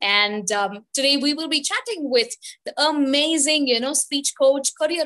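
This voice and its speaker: A woman with an Indian accent speaks at a fairly slow pace in a high pitch, her bright, sharp tone carrying lively intonation over a quiet background. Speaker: webinar host. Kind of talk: live webinar hosting. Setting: video call. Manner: frequent fillers. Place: home room. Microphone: video call.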